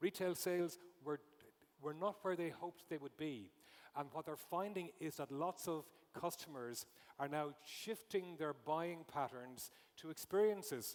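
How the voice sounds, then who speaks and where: With an Irish accent, a man talks at a moderate pace in a fairly high pitch with ordinary pitch variation. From Ireland. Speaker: conference speaker, retail consultant. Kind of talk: conference talk.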